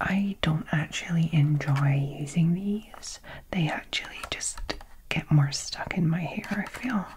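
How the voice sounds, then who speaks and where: Soft-spoken with a gentle tone, a woman talks at a very slow pace and fairly low pitch with ordinary pitch variation, against noticeable background noise. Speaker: beauty box reviewer. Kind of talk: casual unboxing chat. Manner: soft-spoken, gentle ASMR voice.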